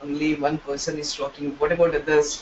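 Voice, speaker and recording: A man talks at a moderate pace with a fairly high pitch. Background noise is noticeable. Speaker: programming teacher. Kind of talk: live online class.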